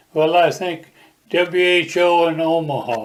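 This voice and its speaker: A man talks in an American accent. His pitch is high. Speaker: war veteran. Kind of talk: interview answer, oral history.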